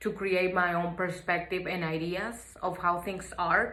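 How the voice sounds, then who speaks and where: A woman's medium-pitched voice with a Mexican accent and a bright, sharp tone at a moderate pace, with audible room echo. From Mexico. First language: Spanish. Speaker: student. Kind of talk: class assignment reflection.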